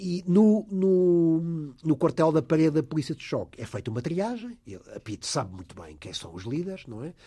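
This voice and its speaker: Against a quiet background, a man with a fairly high pitch and a dark, mellow tone talks at a moderate pace with lively intonation and big swings in loudness. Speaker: investigative journalist and biographer. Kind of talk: radio interview. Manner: halting, repeats words.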